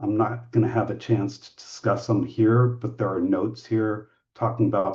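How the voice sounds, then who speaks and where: At a moderate pace, a man speaks with a fairly low pitch, a dark, mellow tone and a somewhat breathy sound. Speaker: medical device safety standards expert. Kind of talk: webinar presentation.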